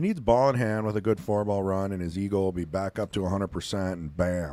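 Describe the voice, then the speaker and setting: In a Wisconsin accent, a man talks with a very deep, low pitch, a dark, mellow tone and ordinary pitch variation, on a very clean recording with a silent background. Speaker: pool commentator. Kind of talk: live commentary. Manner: casual, conversational.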